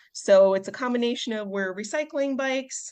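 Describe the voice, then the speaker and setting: A woman talks with a Midwestern American accent. The background is quiet. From US Midwest, Chicago suburbs. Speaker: veterinarian and bike shop volunteer. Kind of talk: podcast interview.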